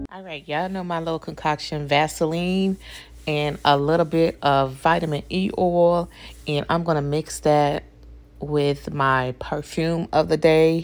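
With a very deep, low pitch, a woman speaks at a fairly slow pace in a monotone, flat intonation. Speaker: beauty vlogger. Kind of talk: casual vlog chat. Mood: warm and friendly. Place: bathroom. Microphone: phone near.

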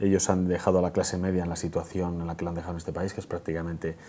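A man talks at a very fast pace with light background noise. His very deep, low pitch carries a dark, mellow tone. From Spain, Burgos; Spain. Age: 30s. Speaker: parliamentary candidate; candidate. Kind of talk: TV interview; interview answer. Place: studio. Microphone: lapel.

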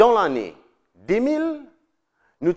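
The speaker has a Mauritian accent and very wide pitch swings. The background stays quiet. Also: man. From Mauritius. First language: Mauritian Creole (speaking French). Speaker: political video presenter; presenter. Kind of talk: scripted narration. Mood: earnest, persuasive. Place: studio. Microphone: lapel.

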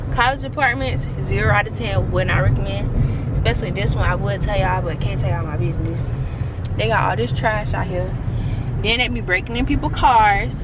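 Talking at a fairly quick pace, a woman sounds dry with no echo, though noticeable background noise comes through. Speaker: college vlogger. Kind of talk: casual vlog chat. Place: car. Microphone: phone near.

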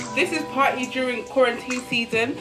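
A woman's raised, projected voice over clear background music. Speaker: vlogger. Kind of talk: casual vlog chat. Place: home room. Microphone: camera far.

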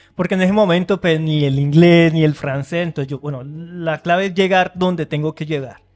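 Speech moves at a fairly quick pace with hardly any pauses. The intonation is fairly even. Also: man. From Colombia, Florencia (Caquetá); Colombia. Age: young. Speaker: engineer and immigrant; podcast guest. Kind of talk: casual interview. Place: studio. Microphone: studio mic.

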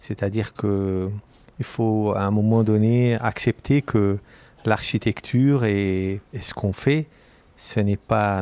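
A man talks at a very slow pace in a fairly low pitch. His tone is dark and mellow, with fairly even intonation. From Lebanon. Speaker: architect and urban planner. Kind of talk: interview conversation.

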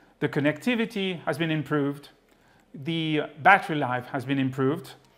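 A man is speaking. His voice has ordinary pitch variation. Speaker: presenter. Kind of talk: product demonstration. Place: studio.

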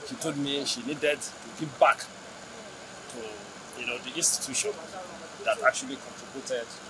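A man talks at a moderate pace while noticeable background noise runs behind him. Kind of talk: interview answer. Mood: proud, appreciative. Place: hall.

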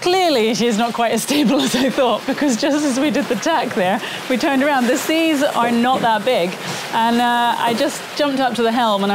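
The speaker talks at a fairly quick pace. Noticeable background noise is present. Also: woman. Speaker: sailing vlogger. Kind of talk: casual vlog chat. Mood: amused, laughing. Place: boat. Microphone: phone near.

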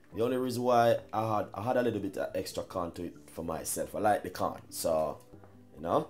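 Faint music sits in the background as a man talks. His pitch variation is ordinary. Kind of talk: cooking tutorial. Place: kitchen. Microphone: camera far.

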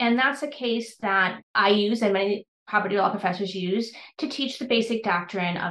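An ordinary speaking voice, a woman at medium pitch with an American accent and a moderate pace. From US Midwest, Wisconsin. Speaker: law professor. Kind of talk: interview.

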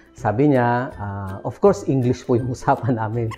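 A man at a moderate pace, ordinary pitch variation, faint music in the background. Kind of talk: casual vlog storytelling. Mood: warm, cheerful, smiling. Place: home room. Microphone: lapel.

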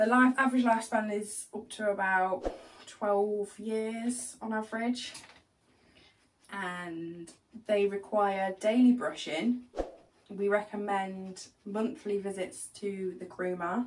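A woman at a very slow pace, with fairly even intonation and light background noise. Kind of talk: tutorial. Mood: warm, relaxed. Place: shop. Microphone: camera far.

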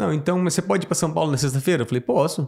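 A man talks at a very fast pace and fairly high pitch, with vocal fry. His pitch swings very widely, and the recording is very clean with a silent background. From Mato Grosso do Sul, Brazil. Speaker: farmer. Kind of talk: casual chat.

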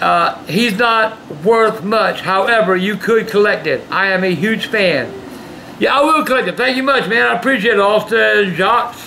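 With a raised, projected voice, a man talks at a moderate pace over light background noise. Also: ordinary pitch variation. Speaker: vlog host reading fan mail. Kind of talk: casual vlog chat, reading letters aloud. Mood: gruff, sometimes shouting. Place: home room. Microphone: camera far.

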